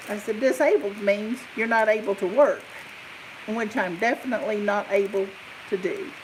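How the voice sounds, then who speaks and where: Noticeable background noise sits behind a woman speaking at a moderate pace, her fairly high pitch showing ordinary variation. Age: 50s. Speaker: crochet YouTuber, retired nurse. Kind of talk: casual live stream chat. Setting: live stream. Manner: animated.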